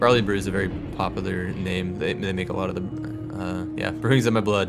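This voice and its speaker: A man speaks with a very deep, low pitch. The room echo is audible, and music plays in the background. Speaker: video game streamer. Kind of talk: live gameplay commentary. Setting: live stream. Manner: casual, rambling.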